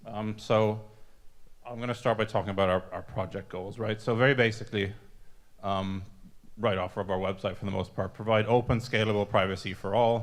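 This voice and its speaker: Against a quiet background, a man with a fairly low pitch speaks in a flat monotone at a fairly quick pace. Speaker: software developer giving conference talk. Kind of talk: conference presentation. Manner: halting, many fillers and restarts.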